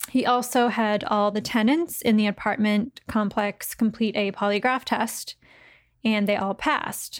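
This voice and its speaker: An ordinary speaking voice talks at a fairly slow pace with fairly even intonation and very even loudness. The recording is very clean, with a silent background. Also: woman, fairly high pitch for a woman. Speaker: podcast host. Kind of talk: casual chat and storytelling.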